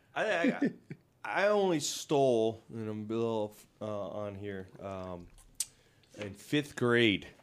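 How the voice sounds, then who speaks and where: A man's very slow, lively speech at a medium pitch, with big swings in loudness. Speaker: podcast host. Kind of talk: casual podcast chat. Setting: office studio. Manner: joking, talkative.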